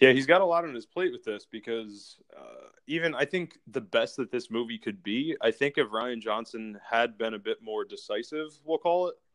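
A man's unremarkable speaking voice, fairly high in pitch, with lively intonation, big swings in loudness, a moderate pace and hardly any pauses. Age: 30s. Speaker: podcast host. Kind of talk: casual chat.

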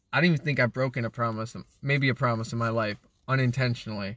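A man with an unremarkable speaking voice talks at a fairly quick pace with fairly even intonation. The sound is dry and close with no echo, and the background is quiet. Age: 20s. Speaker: podcast co-host, young father. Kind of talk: casual chat.

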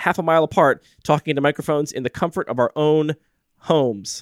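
A fairly high-pitched man is heard in a dry, close sound with no echo. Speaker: podcast host. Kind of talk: casual chat. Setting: remote recording, home microphones.

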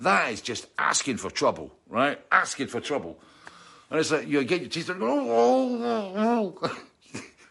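A fairly high male voice, bright and sharp in tone, at a fairly slow pace with very wide pitch swings. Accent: Scottish. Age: 60s. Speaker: musician and livestream host. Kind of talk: casual chat. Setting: home studio.

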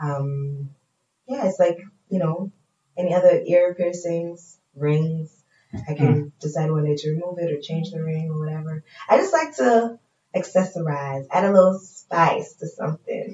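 A woman with an American accent, fairly low in pitch, at a moderate pace. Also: ordinary pitch variation. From Tanzania and Pennsylvania, US. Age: 20s. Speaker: radio presenter and actor. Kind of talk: casual chat. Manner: animated.

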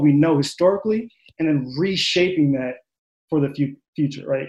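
An ordinary speaking voice: a man with an American accent, fairly high pitch and fairly even intonation. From Long Island, New York. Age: 20s. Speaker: psychology doctoral candidate. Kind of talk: panel discussion.

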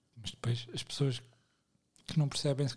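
With a European Portuguese accent, a man speaks in a fairly high pitch with a dark, mellow tone that is somewhat breathy. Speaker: podcast co-host. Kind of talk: casual chat.

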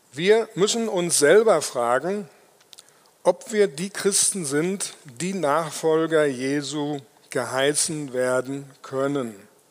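Very slow in pace, a man with a fairly high pitch speaks with lively intonation. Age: 60s. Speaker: lay preacher. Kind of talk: sermon.

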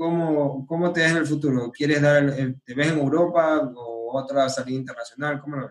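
Using an ordinary speaking voice, a man with a fairly high pitch talks at a moderate pace with fairly even intonation and big swings in loudness. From Ecuador (Manabí). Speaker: podcast host. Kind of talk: casual interview.

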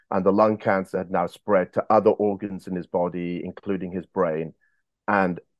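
A man speaks with a very deep, low voice and an English accent, his intonation fairly even. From England, boarding school in Wales. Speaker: former bank robber telling his story. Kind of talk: interview storytelling. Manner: halting, many fillers.

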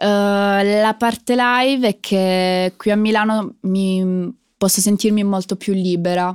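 A woman speaking at a very slow pace, in a very clean recording with a silent background and a dry, close sound with no echo. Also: medium pitch for a woman, fairly even intonation, very even loudness. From southern Italy, Foggia (Apulia). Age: 20s. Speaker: singer. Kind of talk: interview.

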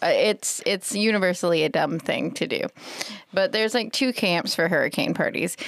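A woman with an American accent has a plain, everyday voice, fairly high in pitch, with ordinary pitch variation and very even loudness. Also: moderate pace. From South Carolina. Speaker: library staff member. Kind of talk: casual chat.

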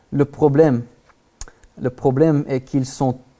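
Very clean recording, silent background, with an American accent. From Texas, US. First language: English (speaking French). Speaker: guest preacher. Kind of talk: sermon. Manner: halting, many hesitations.

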